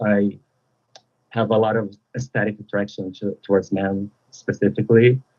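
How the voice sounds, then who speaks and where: This man has a fairly low pitch and a Brazilian Portuguese accent. He talks at a fairly slow pace. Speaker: caller. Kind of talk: call-in discussion. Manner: halting.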